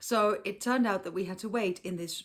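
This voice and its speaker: A woman speaks at a medium pitch. She has a slight Dutch accent. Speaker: car seat retailer and vlogger. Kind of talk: travel vlog narration. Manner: casual, with fillers.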